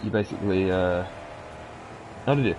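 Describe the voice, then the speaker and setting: Noticeable background noise behind a man with a fairly low pitch. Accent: British. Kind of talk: casual gaming chat.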